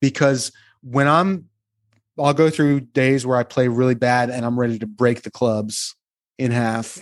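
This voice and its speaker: A normal speaking voice moves at a fairly slow pace with fairly even intonation over a quiet background. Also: man, medium pitch for a man. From New Jersey, near Atlantic City. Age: 50s. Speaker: bassist. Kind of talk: casual interview.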